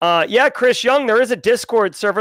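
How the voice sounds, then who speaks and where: Loud and at a fairly quick pace, a man speaks with ordinary pitch variation in a very clean recording with a silent background and a dry, close sound with no echo. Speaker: conference organizer and livestream host. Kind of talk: livestream meeting. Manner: animated.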